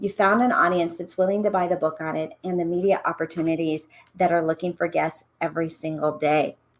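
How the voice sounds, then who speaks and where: The speaker is a woman. Her voice sits at a medium pitch, with ordinary variation. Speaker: speaker and radio host. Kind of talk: presentation. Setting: virtual stage. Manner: fast; animated.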